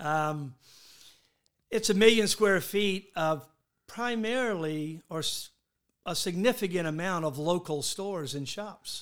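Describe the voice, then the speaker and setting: On a very clean recording with a silent background, a man with a Southern US accent speaks in a high pitch at a fairly slow pace, with long, frequent pauses. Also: ordinary pitch variation. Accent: US South. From Charleston, South Carolina. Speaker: hotel owner. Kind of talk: interview. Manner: halting.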